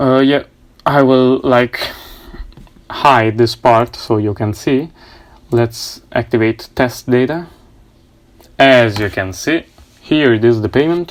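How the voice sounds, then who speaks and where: A very slow delivery with a non-native accent and long, frequent pauses. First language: not English. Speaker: coding tutorial youtuber. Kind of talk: tutorial. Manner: halting, many fillers.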